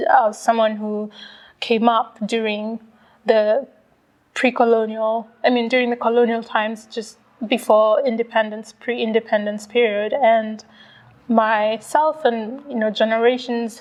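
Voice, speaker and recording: A woman at a fairly slow pace, fairly high in pitch, her intonation monotone and flat. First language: Swahili and English. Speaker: author. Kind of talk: interview. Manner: halting, with many fillers and repetitions.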